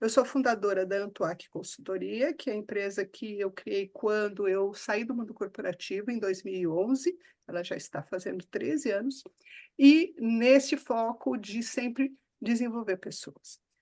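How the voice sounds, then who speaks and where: This woman's voice is an unremarkable speaking voice, pitched fairly high. She speaks at a fairly slow pace with lively intonation. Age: 60s. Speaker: coach and consultant. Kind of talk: casual interview.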